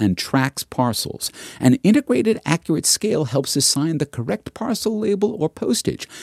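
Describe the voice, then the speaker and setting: A man with a fairly high pitch speaks at a moderate pace, his pitch swinging very widely, in a dry, close sound with no echo. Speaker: podcast host. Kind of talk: read advertisement; scripted narration. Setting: studio.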